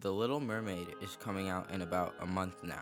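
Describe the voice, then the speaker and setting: With music in the background, a man talks in a very deep, low pitch. His pace is moderate and his pitch variation ordinary. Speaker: video essayist. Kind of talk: video essay narration.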